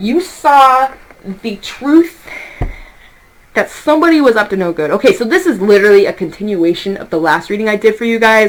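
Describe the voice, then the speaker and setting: A loud woman's voice, fairly high in pitch with very wide pitch swings, over noticeable background noise. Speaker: tarot reader. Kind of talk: tarot reading monologue. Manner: fast.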